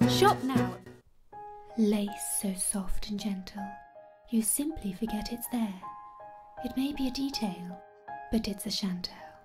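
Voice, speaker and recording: Music plays in the background as a woman speaks at a medium pitch and a fairly slow pace. Her intonation is lively, with long, frequent pauses. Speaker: voice actor. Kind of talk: TV commercial read.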